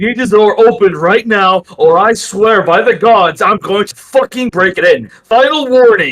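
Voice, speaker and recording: Putting on a character voice, a man sounds gruff and high-pitched, going at a moderate pace with hardly any pauses. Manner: threatening.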